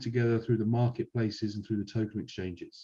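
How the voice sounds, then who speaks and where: A man's dark, mellow, somewhat breathy voice with a British accent. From UK. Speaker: software company evangelist. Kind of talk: webinar presentation.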